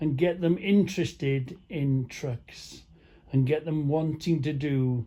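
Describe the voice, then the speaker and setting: A man with a North Welsh accent speaks at a very slow pace, his fairly high voice carrying a dark, mellow tone. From North Wales (Caernarfon area). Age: 60s. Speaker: truck driver vlogger. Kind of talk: casual monologue. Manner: halting.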